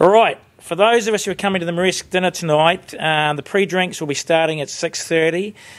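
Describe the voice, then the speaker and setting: A man with a New Zealand accent speaks with ordinary pitch variation. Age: 50s. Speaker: sheep farmer and industry board chair. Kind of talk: panel discussion. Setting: conference stage with audience.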